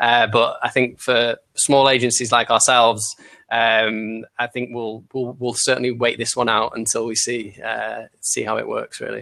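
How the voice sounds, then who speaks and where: A man with a Manchester accent, medium pitch, bright, sharp tone, vocal fry, monotone, flat intonation and a moderate pace. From Manchester, England. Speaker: marketing agency founder. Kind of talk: panel discussion. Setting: live video call broadcast.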